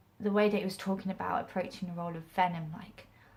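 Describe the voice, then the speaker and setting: Somewhat breathy and medium in pitch, a woman speaks with ordinary pitch variation. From England, Stamford (Lincolnshire). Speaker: actress and acting vlogger. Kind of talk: casual vlog talk. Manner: casual, halting with restarts.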